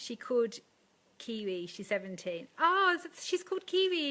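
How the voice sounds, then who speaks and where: A woman speaks in a raised, projected voice at a fairly slow pace. Noticeable background noise runs behind her. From England. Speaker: makeup artist and wedding business coach. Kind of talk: live stream talk to viewers. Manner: casual, chatty with fillers.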